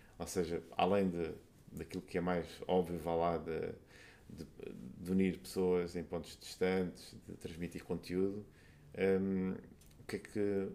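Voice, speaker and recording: Very slowly, a man speaks at a very deep, low pitch. His tone is dark and mellow, his intonation monotone and flat. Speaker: podcast host. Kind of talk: casual interview.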